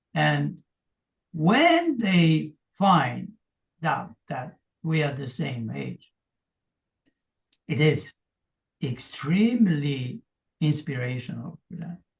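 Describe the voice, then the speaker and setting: The voice moves very slowly with long, frequent pauses, lively intonation, vocal fry, and big swings in loudness. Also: man, fairly high pitch for a man. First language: Polish. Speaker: fitness coach. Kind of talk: interview.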